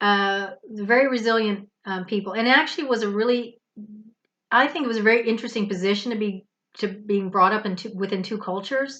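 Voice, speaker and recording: Here a woman with an American accent speaks at a fairly quick pace. Her fairly high voice has a bright, sharp tone and ordinary pitch variation. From US and England. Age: 50s. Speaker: spiritual vlogger. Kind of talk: casual monologue.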